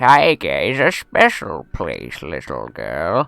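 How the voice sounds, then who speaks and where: At a fairly slow pace, someone performs a put-on character voice. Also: man. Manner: gentle, storytelling.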